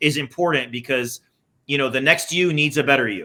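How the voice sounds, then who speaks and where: A man with a Californian accent talks at a moderate pace in a fairly high, bright, sharp tone with ordinary pitch variation. The recording is very clean, with a silent background. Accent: American, Californian. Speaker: insurance business owner, interviewer. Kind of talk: casual interview.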